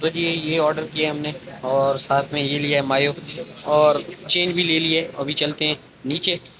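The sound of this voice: Here a man talks at a moderate pace in a fairly high pitch. His tone is fairly bright, with little pitch movement.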